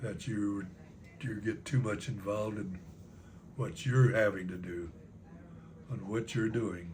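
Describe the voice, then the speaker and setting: Somewhat breathy and with an American accent, a man speaks at a fairly slow pace with ordinary pitch variation and long, frequent pauses, in a room with audible echo. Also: fairly low pitch for a man. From Texas (San Antonio). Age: 90s. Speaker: grandfather telling life stories. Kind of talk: family interview, life reflections. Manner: halting.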